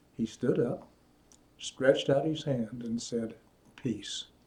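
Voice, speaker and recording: A man's somewhat breathy voice moves at a fairly slow pace. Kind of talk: children's story reading.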